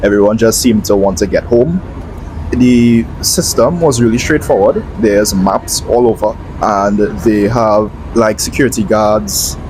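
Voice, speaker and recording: Fairly low-pitched male voice with lively intonation at a fairly slow pace, amid noticeable background noise. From Trinidad. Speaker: travel vlogger. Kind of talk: voiceover narration.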